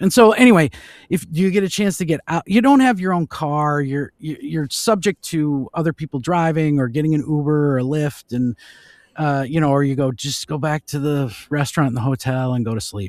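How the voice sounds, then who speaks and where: A man with an American accent and a fairly high pitch, talking at a fairly quick pace in a dry, close sound with no echo. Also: lively intonation. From Minnesota. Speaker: voice actor. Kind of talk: interview answer. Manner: casual, chatty.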